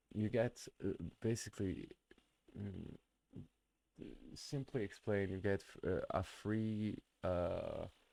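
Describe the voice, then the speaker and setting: A man's dark, mellow tone in a non-native accent, very slow, with fairly even intonation and long, frequent pauses. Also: fairly low pitch for a man. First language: not English. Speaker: streamer. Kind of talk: live stream reaction commentary. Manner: halting, many fillers and restarts.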